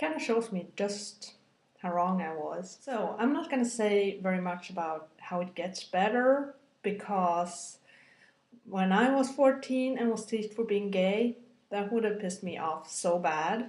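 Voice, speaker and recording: At a fairly slow pace, a woman with a medium pitch speaks with lively intonation. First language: Scandinavian language. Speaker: video blogger. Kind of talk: personal video blog, testimony. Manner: rambling with many fillers; halting.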